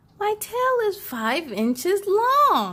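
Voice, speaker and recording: A woman performs a put-on character voice. It is squeaky and extremely high-pitched. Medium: read story.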